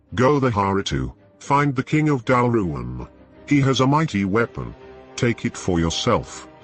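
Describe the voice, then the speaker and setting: With faint music in the background, a man uses a put-on character voice at a medium pitch and a moderate pace. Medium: solo performance. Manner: hissing, sly.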